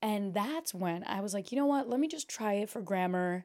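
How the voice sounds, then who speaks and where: In a very clean recording with a silent background, a woman with a Portuguese accent speaks at a moderate pace and medium pitch, her tone dark and mellow and her intonation lively. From Brazil. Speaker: podcast host. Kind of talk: casual chat. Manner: animated.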